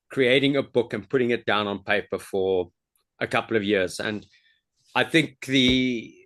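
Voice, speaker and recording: A man at a very slow pace, with medium pitch and ordinary pitch variation, against a quiet background. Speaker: karate instructor. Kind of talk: casual chat. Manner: halting.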